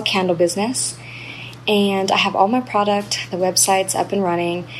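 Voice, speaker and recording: With an American accent, a woman speaks at a fairly quick pace over noticeable background noise. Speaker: caller, new mom starting a business. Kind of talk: recorded listener question.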